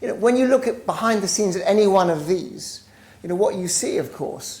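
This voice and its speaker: Noticeable background noise sits behind a woman who talks at a fairly quick pace. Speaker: business professor, author. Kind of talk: lecture.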